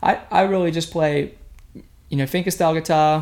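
A fairly high-pitched man with an Australian accent, fairly quick pace and fairly even intonation, on a very clean recording with a silent background. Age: young. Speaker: guitarist and singer. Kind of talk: interview.

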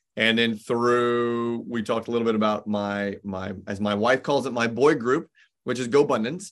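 A man talks moderately fast at a medium pitch, his pitch varying in an ordinary way. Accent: American. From US Midwest (Indianapolis, Indiana). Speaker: business coach and entrepreneur. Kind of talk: casual interview chat. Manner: animated.

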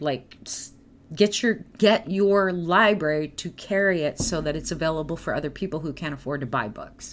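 At a moderate pace, a woman with a fairly low pitch and lively intonation talks in a normal speaking voice. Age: 50s. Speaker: podcast host and clairvoyant. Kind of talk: casual chat. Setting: live stream.

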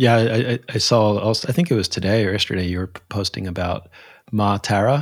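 With an American accent and an ordinary speaking voice, a man talks at a fairly quick pace, fairly low in pitch with ordinary pitch variation, on a very clean recording with a silent background. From US, Philadelphia. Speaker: podcast host. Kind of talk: interview conversation.

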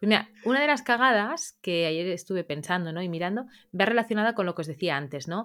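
A woman at a medium pitch, lively in intonation and very fast in pace, on a very clean recording with a silent background. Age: 30s. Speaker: dog trainer. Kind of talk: interview.

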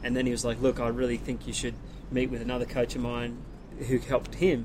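In an Australian accent, someone speaks at a very fast pace with monotone, flat intonation. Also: man. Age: 30s. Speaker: big wave surfer. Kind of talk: casual chat.

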